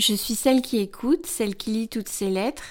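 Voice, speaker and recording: A woman uses an ordinary speaking voice, fairly high-pitched with ordinary pitch variation, on a very clean recording with a silent background. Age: 40s. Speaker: blogger and podcast host. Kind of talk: scripted narration.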